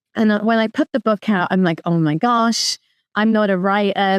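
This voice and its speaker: A woman with a London accent speaks with ordinary pitch variation against a quiet background, the sound dry and close with no echo. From London, England. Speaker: author and lawyer. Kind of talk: interview.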